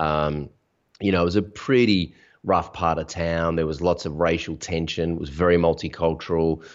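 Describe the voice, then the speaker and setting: A man with an Australian accent talks at a moderate pace, his very deep, low pitch held in fairly even intonation. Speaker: online business coach. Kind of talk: interview. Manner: authoritative.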